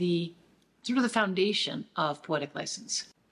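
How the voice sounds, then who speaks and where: With lively intonation, a woman is speaking. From Nova Scotia, Canada. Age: 60s. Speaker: theatre artist and teacher. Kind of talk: pitch presentation.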